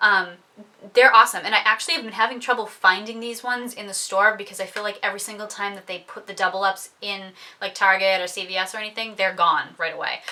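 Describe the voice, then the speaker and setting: A woman talks very fast at medium pitch with fairly even intonation. Noticeable background noise runs underneath. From New England. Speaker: beauty vlogger. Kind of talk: product review monologue. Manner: casual with many fillers.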